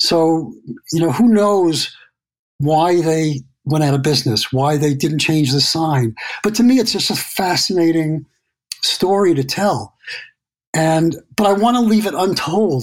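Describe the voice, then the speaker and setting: A man with a plain, everyday voice speaks at a fairly slow pace with a fairly high pitch, lively intonation, and very even loudness. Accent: American. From New York City. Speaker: landscape photographer. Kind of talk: interview.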